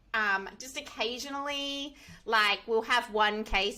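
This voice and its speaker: Her tone bright and sharp, a woman with an Australian accent speaks at a fairly high pitch. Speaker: software engineer. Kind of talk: interview.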